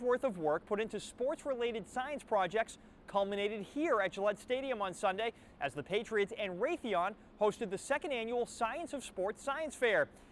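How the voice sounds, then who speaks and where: A man speaks at a moderate pace. The sound is dry with no echo, and there is light background noise. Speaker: TV show host. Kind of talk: news report presenting. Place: stadium. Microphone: lapel.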